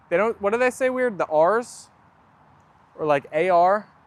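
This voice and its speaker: A man with an American accent, very wide pitch swings, and a dry, close sound with no echo. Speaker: livestreamer with pet dogs. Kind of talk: casual chat. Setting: outdoors.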